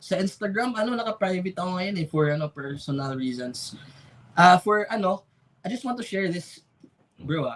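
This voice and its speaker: At a fairly quick pace, a man talks in a high pitch with lively intonation. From Philippines, Misamis Oriental, Mindanao. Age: 20s. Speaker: architecture student and freelance 3D visualizer. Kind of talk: casual podcast interview, Taglish. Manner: halting, many fillers.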